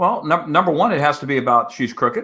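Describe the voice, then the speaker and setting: Bright, sharp-toned male voice at a fairly quick pace, on a very clean recording with a silent background. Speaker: political consultant, panelist. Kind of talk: political panel discussion. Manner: fast.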